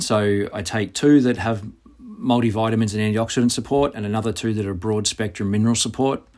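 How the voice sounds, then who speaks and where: Here a man with an Australian accent talks at a fairly quick pace, medium pitch and fairly even intonation. The recording is very clean, with a silent background. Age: 40s. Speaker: physical preparation coach. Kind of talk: reading aloud.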